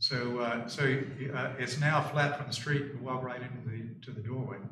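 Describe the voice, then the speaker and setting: Moderate pace and flat, monotone intonation in an American accent, with audible room echo and noticeable background noise. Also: man, medium pitch for a man. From US South. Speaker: neighbor testifying at public hearing. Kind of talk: testimony. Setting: town board meeting. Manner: halting, many fillers and restarts.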